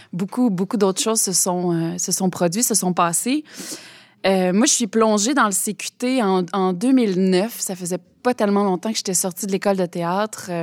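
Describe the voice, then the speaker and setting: In an unremarkable speaking voice, a woman talks at a fairly slow pace and medium pitch with ordinary pitch variation, the sound dry and close with no echo. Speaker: president of a theatre council. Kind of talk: interview.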